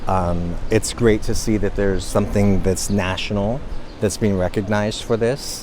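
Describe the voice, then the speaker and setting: Over noticeable background noise, a man with a fairly low voice speaks at a fairly quick pace with fairly even intonation. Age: 60s. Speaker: visitor interviewed at monument. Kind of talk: street interview.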